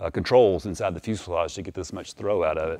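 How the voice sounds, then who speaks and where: A man speaks fairly quickly, with a quiet background behind him. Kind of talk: walkaround explanation to viewers. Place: garage.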